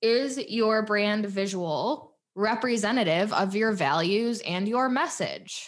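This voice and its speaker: An animated woman with a fairly high pitch and ordinary pitch variation. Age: 20s. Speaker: podcast host and business coach. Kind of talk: solo podcast monologue.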